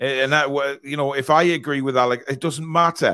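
Speaking with a Geordie accent, a man with fairly high pitch and a bright, sharp tone goes at a fairly quick pace on a very clean recording with a silent background. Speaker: football fan podcast host. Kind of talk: casual chat. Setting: live stream.

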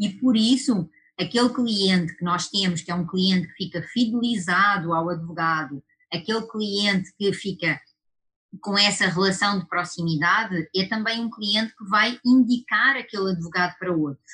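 Her tone bright and sharp, a woman with a European Portuguese accent speaks at a medium pitch and moderate pace with ordinary pitch variation. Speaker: lawyer and webinar host. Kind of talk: webinar discussion. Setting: online webinar.

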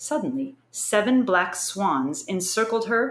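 An unforced reading voice carries the whole clip.

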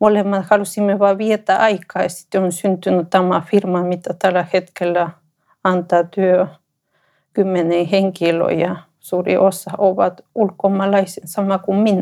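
A woman speaks with a Spanish accent at a fairly slow pace. Her medium-pitched voice is dark and mellow, with monotone, flat intonation. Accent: Spanish-accented Finnish. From Ecuador. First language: Spanish (speaking Finnish). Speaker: entrepreneur. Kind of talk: personal testimony interview. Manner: halting.

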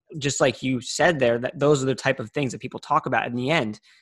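This man has an unremarkable speaking voice, medium in pitch, with fairly even intonation. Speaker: podcast host. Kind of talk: interview with ad read.

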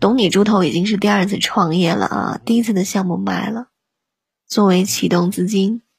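A woman speaks at a medium pitch and moderate pace with vocal fry and ordinary pitch variation. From northern China. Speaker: livestream radio host. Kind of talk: casual livestream chat. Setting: live online broadcast. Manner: animated.

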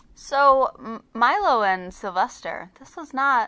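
Using an ordinary speaking voice, a woman talks fairly slowly, her intonation lively. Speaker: podcast co-host. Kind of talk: casual podcast chat. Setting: recorded remotely, not in the same room.

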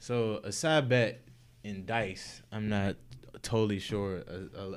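In a very clean recording with a silent background, a man with an American accent uses an ordinary speaking voice at a fairly low pitch. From Washington, D.C. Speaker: sports bettor. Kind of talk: casual chat.

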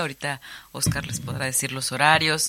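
This is a woman speaking. Her pace is moderate. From Mexico, Cancún (Yucatán peninsula). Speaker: planetarium director and filmmaker. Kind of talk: radio interview.

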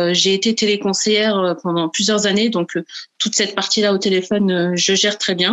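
A woman speaks in a normal speaking voice at a fairly slow pace. Her pitch is medium and her intonation fairly even. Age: 30s. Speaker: virtual assistant and budget coach. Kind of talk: interview.

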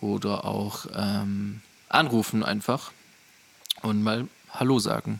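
Amid noticeable background noise, a man with fairly low pitch speaks at a very slow pace with long, frequent pauses. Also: fairly even intonation. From southwest Germany (Rottweil, Baden-Württemberg). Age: 20s. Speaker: photographer and videographer, podcast host. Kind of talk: casual chat.

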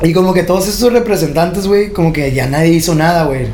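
Audible room echo and noticeable background noise surround a man with a high pitch. He speaks at a moderate pace with ordinary pitch variation. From Tijuana, Mexico. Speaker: trap artist and clothing designer. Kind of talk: casual interview. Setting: podcast studio.

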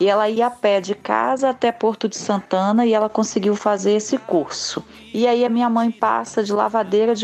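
With music in the background, a woman with a fairly high pitch speaks at a moderate pace and with fairly even intonation. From Cariacica, Espírito Santo, Brazil. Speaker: community project founder. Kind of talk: testimony.

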